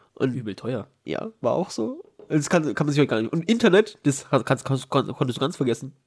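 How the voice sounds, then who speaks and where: A man's fairly high, somewhat breathy voice at a very fast pace. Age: 30s. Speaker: podcast host. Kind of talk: casual chat.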